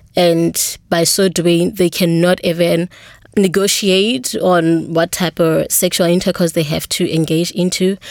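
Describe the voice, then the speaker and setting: A woman's fairly low, flat, monotone voice at a fairly slow pace, very even in loudness, on a very clean recording with a silent background. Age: 20s. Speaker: HIV peer counselor. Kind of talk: interview. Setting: studio.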